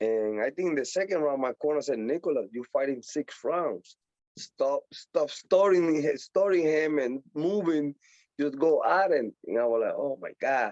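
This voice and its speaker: Speaking at a fairly slow pace with a Puerto Rican accent, a man uses a fairly high pitch and ordinary pitch variation, with a dry, close sound and no echo. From Puerto Rico. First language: Spanish. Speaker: professional boxer. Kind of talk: interview.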